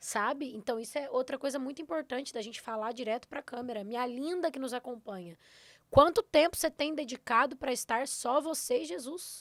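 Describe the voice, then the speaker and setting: With a Minas Gerais accent, a woman speaks at a fairly quick pace in an animated tone, her high pitch showing ordinary pitch variation and big swings in loudness. The recording is very clean with a silent background and a dry, close sound with no echo. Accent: Minas Gerais (mineiro). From southern Minas Gerais, Brazil. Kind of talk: podcast interview.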